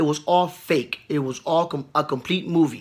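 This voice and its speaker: A man speaks at a fairly high pitch with ordinary pitch variation. The recording is very clean, with a silent background. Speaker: political commentary vlogger. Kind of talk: livestream rant. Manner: profane, agitated.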